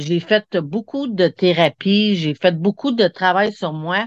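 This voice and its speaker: A woman speaks at a fairly slow pace in a fairly low pitch, with ordinary pitch variation over a quiet background. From Quebec, Montreal. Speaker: hypnosis practitioner. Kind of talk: interview, personal testimony. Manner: halting, many repetitions.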